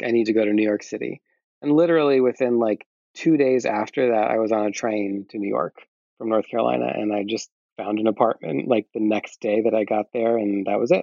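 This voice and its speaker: Speaking in a normal speaking voice with an American accent, a man has a medium pitch and ordinary pitch variation. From US Midwest (Iowa). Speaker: singer-songwriter. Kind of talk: casual chat.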